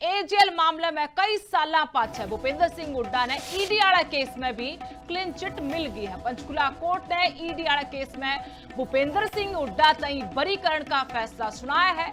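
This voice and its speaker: Over music in the background, a woman with a Haryana accent speaks at a high pitch with lively intonation. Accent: Haryanvi. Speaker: news anchor. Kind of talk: regional news bulletin read.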